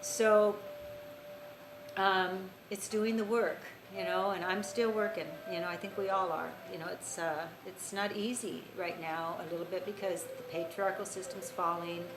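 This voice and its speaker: A woman speaks at a medium pitch and a moderate pace, with fairly even intonation. Noticeable background noise and audible room echo fill the recording. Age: 60s. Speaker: spiritual teacher. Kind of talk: casual talk. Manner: halting.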